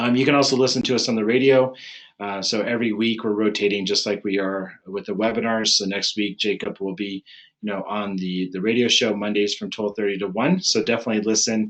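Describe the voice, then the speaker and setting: Speech moves at a fairly quick pace. The intonation is fairly even. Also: man, fairly low pitch for a man. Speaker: chiropractic neurologist. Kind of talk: webinar presentation. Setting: online webinar. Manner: fast; casual, filler-heavy.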